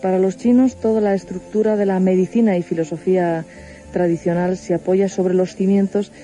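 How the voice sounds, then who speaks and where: With music in the background, a woman speaks at medium pitch and a moderate pace, using ordinary pitch variation. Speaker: radio host. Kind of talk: radio program introduction, explanatory narration.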